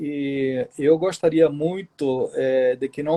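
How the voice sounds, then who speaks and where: The voice has a dark, mellow tone and a Spanish accent. The sound is dry and close, with no echo. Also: man. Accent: Spanish accent in Portuguese, unchanged. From southern Chile. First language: Spanish (speaking Portuguese). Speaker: writer. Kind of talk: interview.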